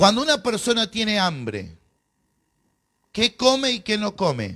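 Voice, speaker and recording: In a very clean recording over a silent background, a man with a high pitch speaks fairly slowly. His tone is animated and his intonation lively. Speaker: pastor. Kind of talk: bible class lecture.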